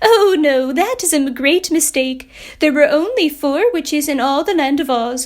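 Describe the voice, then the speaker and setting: A woman puts on a character voice. Her pitch sits high. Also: moderate pace. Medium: read story.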